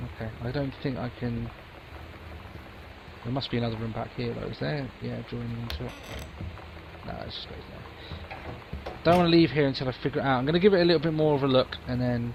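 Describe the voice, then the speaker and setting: A man with a medium pitch and ordinary pitch variation talks very fast, his loudness swinging widely, with long, frequent pauses. Noticeable background noise runs underneath. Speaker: gamer doing let's play commentary. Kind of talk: game commentary with reading aloud. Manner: quiet.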